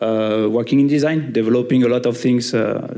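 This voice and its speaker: There is noticeable background noise behind this man's voice. He talks at medium pitch and a moderate pace with a slight French accent. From France. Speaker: semiconductor engineer. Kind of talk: panel discussion.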